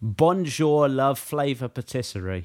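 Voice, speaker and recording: Lively intonation marks this man's speech in a British accent at a fairly slow pace. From Britain. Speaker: podcast co-host. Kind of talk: casual chat.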